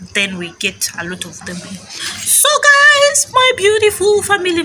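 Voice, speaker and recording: The woman's fairly slow speech is heard through noticeable background noise. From Uganda, Arua (West Nile). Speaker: vlogger. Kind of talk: casual vlog chat. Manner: energetic, animated.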